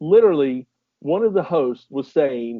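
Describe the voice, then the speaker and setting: With a Southern US accent, a man speaks at a very slow pace. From US South, North Carolina. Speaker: podcast co-host. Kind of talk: casual chat.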